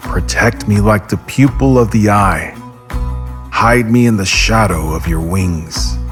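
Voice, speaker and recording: Over background music, a man with a very deep, low pitch talks at a fairly slow pace, his pitch swinging very widely. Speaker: voice actor. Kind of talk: dramatic scripture reading with background music. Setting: studio.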